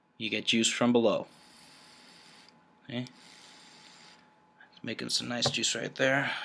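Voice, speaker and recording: Mumbling in a flat monotone, a man with a medium pitch talks at a fairly slow pace with long, frequent pauses. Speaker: vaping hobbyist, military member. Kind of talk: tutorial. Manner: casual, halting.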